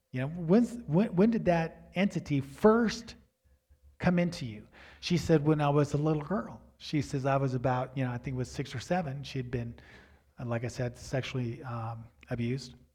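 Very clean recording with a silent background: a man's fairly high pitch, dark and mellow in tone, somewhat breathy, with lively intonation at a moderate pace. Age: 60s. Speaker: pastor. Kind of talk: sermon. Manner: halting.

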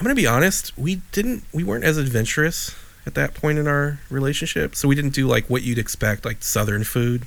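A man with a Chicago accent talks at a fairly quick clip in a fairly high voice, his intonation lively and his speech hardly broken by pauses. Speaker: podcast co-host. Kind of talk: casual chat. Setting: video call. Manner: animated.

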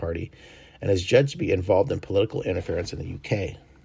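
On a very clean recording with a silent background, a man with a fairly low, somewhat breathy voice talks at a very fast pace with ordinary pitch variation. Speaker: news podcast host. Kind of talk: news reading, scripted-sounding headlines with occasional ad-libbed asides. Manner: informal, self-correcting, laughs at own slips.

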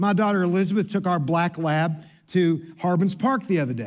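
Moderately paced speech from a man with an American accent, plus audible room echo. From Kentucky. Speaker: pastor. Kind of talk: sermon.

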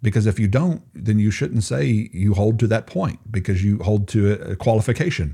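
Dark, mellow tone from a somewhat breathy man, fairly low in pitch, with lively intonation, a moderate pace and hardly any pauses. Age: 40s. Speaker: theology professor and evangelism director. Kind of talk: interview.

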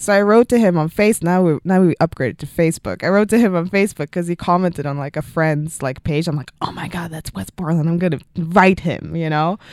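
A woman speaks very fast with a Swedish accent. Her pitch varies in an ordinary way. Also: fairly low pitch for a woman, hardly any pauses, dry, close sound with no echo. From Sweden. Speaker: music video director. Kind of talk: interview.

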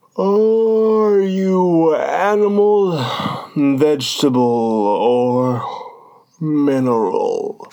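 A put-on character voice at a very slow pace. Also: man, high pitch for a man. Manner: weary, yawning.

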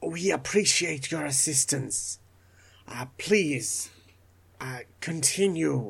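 This is a put-on character voice at a low-to-middle pitch. It moves at a very slow pace with long, frequent pauses. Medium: actual play. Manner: formal, measured.

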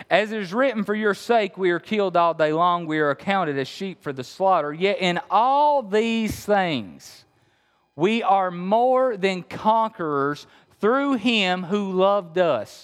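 A high-pitched man with an Appalachian accent at a fairly slow pace, quiet background behind him. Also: lively intonation. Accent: Appalachian Kentucky. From Appalachia, Kentucky. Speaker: pastor. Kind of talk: sermon. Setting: church.

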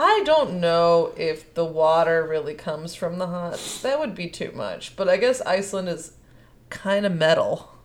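A woman speaks in an American accent at a fairly low pitch. Hers is an ordinary speaking voice with ordinary pitch variation. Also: fairly slow pace. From Chicago area, Illinois. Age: 20s. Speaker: podcast co-host. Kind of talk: casual chat.

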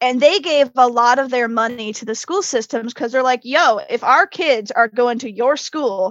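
With an American accent, a woman speaks fairly slowly at a high pitch with ordinary pitch variation. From Connecticut. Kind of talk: casual chat.

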